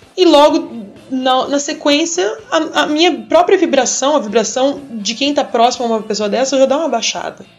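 Over music in the background, a woman with a high voice talks at a moderate pace with hardly any pauses. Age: 30s. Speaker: biology teacher. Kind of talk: explanatory talk.

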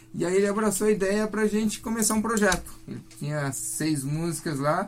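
Noticeable background noise behind a high-pitched man, moderate in pace and ordinary in pitch variation. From Paraná, Brazil (near Londrina, Faxinal). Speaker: psychobilly musician. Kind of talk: radio interview. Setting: radio studio.

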